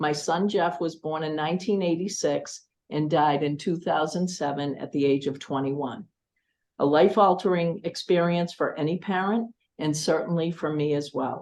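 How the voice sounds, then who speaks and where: The pace is moderate, with ordinary pitch variation. It is a normal speaking voice. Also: woman, fairly low pitch for a woman. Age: 60s. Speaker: school committee candidate. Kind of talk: candidate forum statement. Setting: public forum. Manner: formal.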